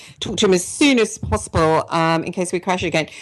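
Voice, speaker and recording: This woman speaks with an English accent at a fairly low pitch. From England. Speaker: radio talk show host. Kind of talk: personal testimony on radio show; radio interview. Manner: hesitant, many fillers.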